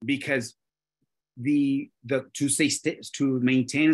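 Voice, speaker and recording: This is a man talking. He has a Spanish accent. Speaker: real estate brokerage leader. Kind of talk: panel discussion. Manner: halting, many restarts.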